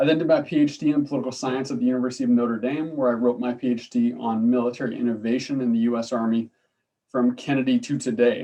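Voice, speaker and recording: A man talks at a very fast pace with a slight Canadian accent. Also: medium pitch for a man, fairly even intonation. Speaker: political science professor. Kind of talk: lecture. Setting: video call. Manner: hesitant, many fillers.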